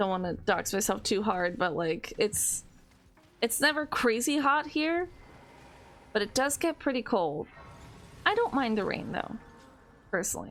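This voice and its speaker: Music plays behind a woman with a strong Californian accent and a fairly high voice who speaks at a moderate pace. Her pitch swings very widely, and she takes long, frequent pauses. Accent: heavy Californian. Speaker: gaming streamer. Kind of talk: casual gameplay livestream chat. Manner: frequent um and like fillers.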